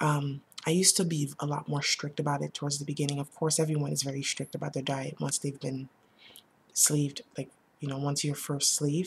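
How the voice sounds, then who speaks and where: Soft-spoken and somewhat breathy, a woman talks at a fairly quick pace in a very deep, low pitch with a flat, monotone intonation. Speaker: vlogger sharing weight loss surgery experience. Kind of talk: casual vlog monologue. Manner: halting, with many fillers.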